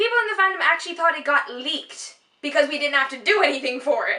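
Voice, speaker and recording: Projecting a raised voice, a woman speaks at an extremely high pitch with a bright, sharp tone. Her pitch swings very widely at a fairly quick pace. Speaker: fan video host. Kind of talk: casual chat. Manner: animated.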